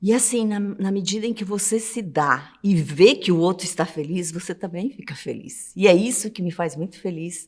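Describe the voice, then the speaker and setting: This woman has an ordinary speaking voice at medium pitch, with ordinary pitch variation and hardly any pauses. She keeps a moderate pace while her loudness swings a great deal. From southern Brazil. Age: 60s. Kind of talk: interview testimony.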